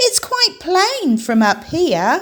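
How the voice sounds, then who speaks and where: A put-on character voice sits at an extremely high pitch and sounds squeaky. Its pitch swings very widely. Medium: read story. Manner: squawking.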